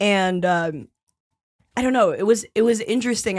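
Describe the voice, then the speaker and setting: A woman with an unremarkable speaking voice, lively intonation and a moderate pace. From New York City, East Village. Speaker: stand-up comedian and podcaster. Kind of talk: casual chat.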